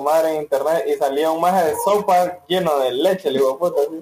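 Noticeable background noise sits behind the recording. A man talks at a fairly quick pace and fairly high pitch. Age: young. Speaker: podcast co-host. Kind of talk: casual chat.

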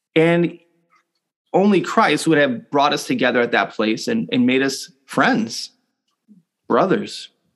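Very slowly, a man speaks at a fairly high pitch with lively intonation. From US city, Puerto Rican family. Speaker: pastor. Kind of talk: sermon.

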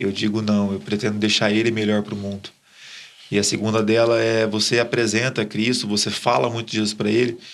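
Fairly low in pitch, a man moves at a fairly quick pace with monotone, flat intonation. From Brazil, Ribeirão Preto (São Paulo state). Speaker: church leader. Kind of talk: testimony.

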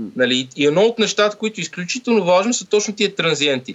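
A man speaks with lively intonation. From Bulgaria. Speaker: sound engineer and lecturer. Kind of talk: casual interview.

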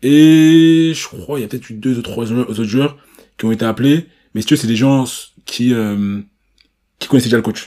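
At a moderate pace, a man with a dark, mellow tone speaks with long, frequent pauses and big swings in loudness. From Paris region, France. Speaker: podcast host. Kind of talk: casual chat.

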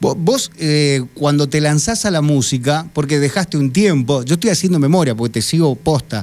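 A man speaks at a moderate pace with a fairly high pitch and ordinary pitch variation. His loudness stays very even, and he hardly pauses. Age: 40s. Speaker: radio host. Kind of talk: radio interview. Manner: halting, many repetitions and fillers.

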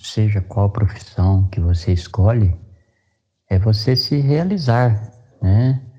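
A man's somewhat breathy, dark, mellow tone at fairly low pitch, with ordinary pitch variation, very even loudness and a very slow pace. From Mato Grosso do Sul, Brazil (Dourados). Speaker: sertanejo singer. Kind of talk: interview.

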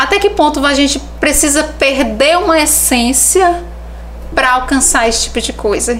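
Noticeable background noise and audible room echo around speech at a moderate pace. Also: woman. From Brazil, Teresina (Piauí). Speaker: visagism specialist. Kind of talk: podcast interview, explanatory.

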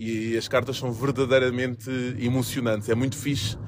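In a European Portuguese accent, a man talks at a moderate pace at a medium pitch. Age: 40s. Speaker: podcast host and handball coach. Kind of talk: casual solo monologue. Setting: recording while travelling to a game. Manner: hesitant, many fillers.

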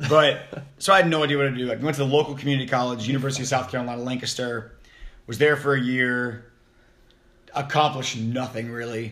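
A man with an American accent talks very fast, his intonation fairly even. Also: medium pitch for a man. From US East Coast. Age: 20s. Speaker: podcast host. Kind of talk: casual chat. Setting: home office.

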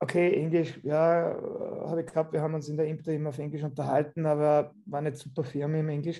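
With an Austrian accent, a man speaks at a fairly quick pace in a dark, mellow tone and a fairly high pitch. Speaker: physiotherapist. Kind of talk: interview.

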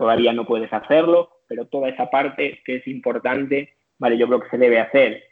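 With fairly level intonation and a medium pitch, a male voice proceeds at a moderate tempo. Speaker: strength and conditioning coach. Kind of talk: interview. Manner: halting.

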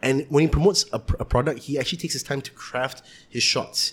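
A man talks at a very fast pace with a fairly high pitch. His voice is somewhat breathy, with fairly even intonation. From Malaysia, Kuala Lumpur area. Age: 20s. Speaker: musician. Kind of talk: casual chat.

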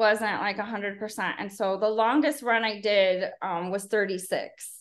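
Using an ordinary speaking voice, a woman with an American accent speaks at a moderate pace in a fairly high pitch with fairly even intonation over a quiet background. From US Midwest, Chicago south suburbs. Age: 40s. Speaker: ultrarunner, educator. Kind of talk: casual interview chat.

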